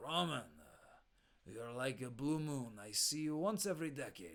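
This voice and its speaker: A man does a put-on character voice in a French accent, growling at a fairly high pitch. He keeps a moderate pace, with big swings in loudness. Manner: gruff.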